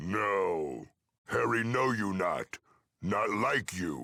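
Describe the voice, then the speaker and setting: A man's growling, put-on character voice, fairly low in pitch and very slow in pace. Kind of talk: comic dumb-brute voice. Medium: game stream. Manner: slow, broken simple speech.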